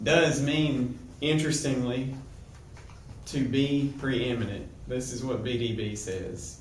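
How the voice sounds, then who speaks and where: A medium-pitched man at a very slow pace, fairly even intonation, long, frequent pauses, noticeable background noise, and audible room echo. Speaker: Bible teacher. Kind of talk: lecture. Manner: halting.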